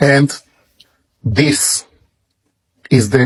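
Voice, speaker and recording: Someone speaks very slowly in an Israeli accent. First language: Hebrew. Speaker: religious book promoter. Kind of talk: product presentation.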